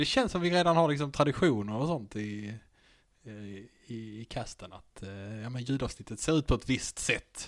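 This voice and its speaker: In a very clean recording with a silent background, a man with a plain, everyday voice speaks fairly slowly at a medium pitch with lively intonation. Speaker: podcast host. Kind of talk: casual chat.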